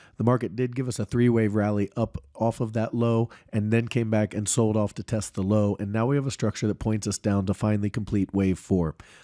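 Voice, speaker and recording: A man with a dark, mellow tone and fairly low pitch speaks at a fairly quick pace with fairly even intonation, in a dry, close recording with no echo, very clean against a silent background. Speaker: stock market analyst youtuber. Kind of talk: market analysis commentary. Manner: casual, conversational.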